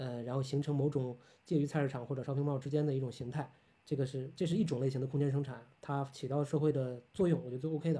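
A man with a fairly high, somewhat breathy voice speaks at a very fast pace. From Tianjin, northern China. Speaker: architect and lecturer. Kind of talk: casual chat. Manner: animated.

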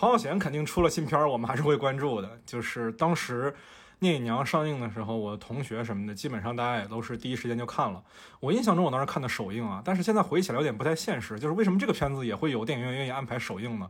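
The recording is very clean and the background silent. A man talks at a very fast pace. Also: medium pitch for a man, lively intonation. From Fujian, China. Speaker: podcast host and photographer. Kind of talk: casual chat.

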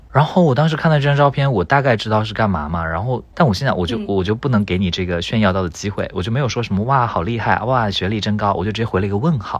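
Rattling along at a very fast pace with hardly any pauses, a man with a fairly low pitch uses lively intonation over noticeable background noise. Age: 30s. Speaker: tech company employee, podcast guest. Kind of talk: casual chat.

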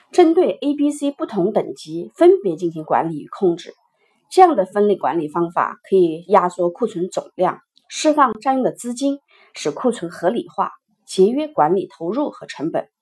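A woman with a fairly high, somewhat breathy voice speaks. Her pitch swings very widely and her loudness rises and falls a lot. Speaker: supply chain management educator. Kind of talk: lecture. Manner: slow.

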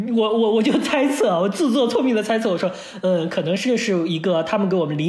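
The speech comes at a very fast pace. Noticeable background noise sits underneath it. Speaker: podcast co-host. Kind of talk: casual chat.

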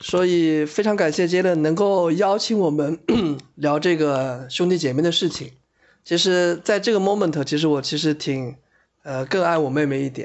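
At a moderate pace, a man with an unremarkable speaking voice talks in a fairly high pitch with ordinary pitch variation. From Shanghai. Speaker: office worker, friend of host. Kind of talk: casual chat.

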